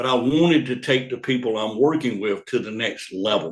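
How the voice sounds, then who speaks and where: A man talks at a moderate pace. His pitch is medium, with ordinary variation. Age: 60s. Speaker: business coach. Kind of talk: motivational talk. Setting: video call. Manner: energetic.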